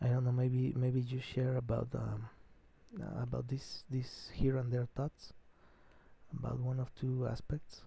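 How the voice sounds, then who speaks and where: With a Mexican accent, a man speaks in a dark, mellow, somewhat breathy voice at medium pitch, his intonation monotone and flat, his pace fairly slow with long, frequent pauses. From Mexico. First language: Spanish. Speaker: live streamer. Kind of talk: solo live stream monologue. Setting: live stream at night. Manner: halting, many repetitions and fillers.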